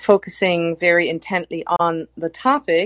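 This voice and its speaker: Over a quiet background, a normal speaking voice talks at a fairly slow pace with fairly even intonation. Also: woman. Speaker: cultural anthropologist. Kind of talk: group discussion.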